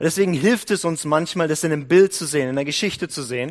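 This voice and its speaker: The man talks at a very fast pace. His pitch is fairly high and varies in an ordinary way. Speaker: prayer house leader and guest preacher. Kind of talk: sermon.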